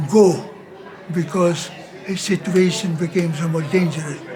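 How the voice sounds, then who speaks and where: With a Dutch accent, a man speaks at a fairly slow pace in a high pitch with monotone, flat intonation. Audible room echo and noticeable background noise fill the recording. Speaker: missionary priest. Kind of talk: interview storytelling. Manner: halting.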